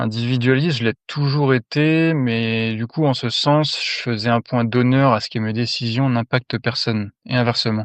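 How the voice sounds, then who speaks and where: A man speaks in a normal speaking voice at a moderate pace, his pitch medium and his intonation fairly even. The sound is dry and close with no echo, over a quiet background. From France. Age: 30s. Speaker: mine worker giving testimony. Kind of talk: testimony.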